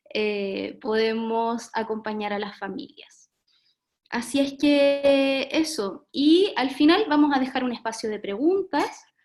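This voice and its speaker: Speaking at a very slow pace, a woman uses a high pitch with lively intonation. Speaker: webinar moderator, early childhood professional. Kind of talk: online talk moderation. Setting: video call. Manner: soft-spoken.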